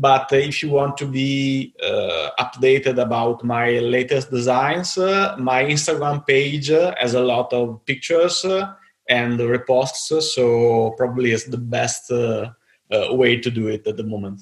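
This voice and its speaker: This man's voice sits at medium pitch with ordinary pitch variation. He speaks at a fairly slow pace. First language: Italian. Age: 30s. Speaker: knife designer. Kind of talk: interview. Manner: halting.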